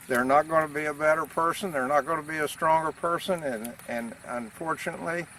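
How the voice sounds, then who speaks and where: The speech runs at a fairly quick pace with hardly any pauses, in a dry sound with no echo and light background noise. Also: man, fairly high pitch for a man. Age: 60s. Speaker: farmer. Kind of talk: casual explanatory talk. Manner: animated; halting, many fillers. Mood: enthusiastic, earnest. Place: farm. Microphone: camera far.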